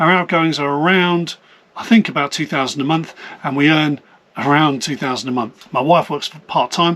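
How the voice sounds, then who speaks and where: A man's fairly high pitch with ordinary pitch variation, in a British accent. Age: 50s. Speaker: vlogger. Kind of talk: personal vlog. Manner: fast.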